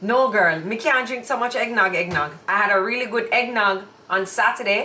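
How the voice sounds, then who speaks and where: A woman with a Jamaican accent speaks at a fairly high pitch and a moderate pace. The room echo is audible, and there is noticeable background noise. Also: ordinary pitch variation. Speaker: YouTube co-host. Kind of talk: casual chat. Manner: loud.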